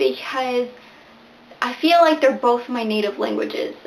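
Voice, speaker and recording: With lively intonation, a woman talks at a fairly slow pace amid noticeable background noise. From Venezuela (Barquisimeto) to age nine, then US; back in Venezuela for high school. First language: Spanish. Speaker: booktuber. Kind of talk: casual vlog talk to camera.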